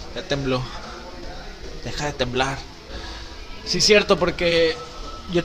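A man talks in a high-pitched voice. Noticeable background noise is present. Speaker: podcast host, nutritionist and trainer. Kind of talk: casual chat.

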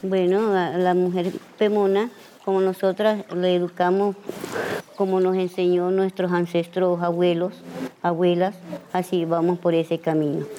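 A woman's medium-pitched, monotone, flat voice at very even loudness, with long, frequent pauses and noticeable background noise. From Venezuela, Gran Sabana. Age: 50s. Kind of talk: interview. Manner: halting.

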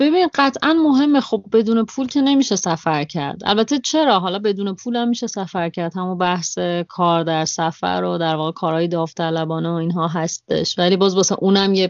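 Speaking at a fairly quick pace, a woman uses lively intonation at a medium pitch. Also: hardly any pauses. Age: 30s. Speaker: travel podcaster and cafe-gallery owner. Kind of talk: interview conversation. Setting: Skype call.

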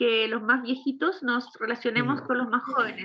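The woman speaks with a high pitch. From Chile. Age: 40s. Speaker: film composer and musician. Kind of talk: interview.

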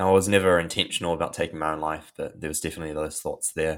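In a very clean recording with a silent background, a man with a New Zealand accent speaks in a very deep, low pitch with monotone, flat intonation. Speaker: anxiety and mental health coach. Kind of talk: interview, guest explaining mental health and meditation. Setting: podcast interview. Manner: casual, with many fillers and hesitations.

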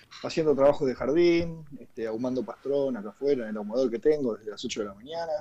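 A man talks at a very fast pace with hardly any pauses, his medium-pitched voice dark and mellow. His pitch varies in an ordinary way while his loudness swings widely. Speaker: cooking columnist. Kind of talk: casual chat. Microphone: connection dropping.

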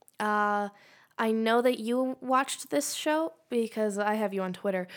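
A woman with an unremarkable speaking voice talks at a fairly high pitch with lively intonation. The recording is very clean, with a silent background. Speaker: podcast co-host. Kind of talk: casual banter.

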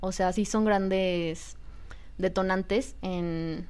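With a Mexican accent, a woman speaks at a medium pitch in a monotone, flat intonation. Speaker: podcast co-host. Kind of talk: casual chat.

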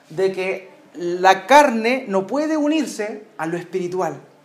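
A man speaks with lively intonation, his voice carrying audible room echo over noticeable background noise. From Chile. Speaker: pastor. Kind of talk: sermon.

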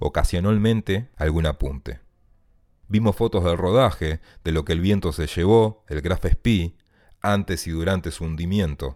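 Very deep, low male voice with lively intonation at a fairly slow pace, in a dry, close sound with no echo. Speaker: writer. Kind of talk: reading aloud.

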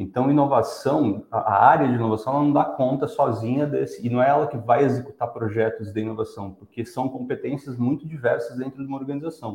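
A plain, everyday voice moves at a fairly quick pace with hardly any pauses and ordinary pitch variation. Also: man, medium pitch for a man. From São Paulo, Brazil. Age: 40s. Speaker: design and innovation professional. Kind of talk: casual interview on a live stream.

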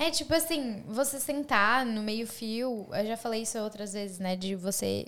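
An unremarkable speaking voice carries on with hardly any pauses. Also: woman, fairly high pitch for a woman, ordinary pitch variation, fairly slow pace. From Brazil, Santa Catarina. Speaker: YouTuber. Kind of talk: casual chat.

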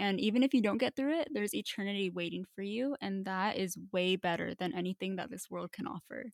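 On a very clean recording with a silent background, a woman with an unremarkable speaking voice talks at a fairly quick pace in a medium pitch with lively intonation. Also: hardly any pauses, dry, close sound with no echo. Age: 20s. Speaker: podcast co-host. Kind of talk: casual chat.

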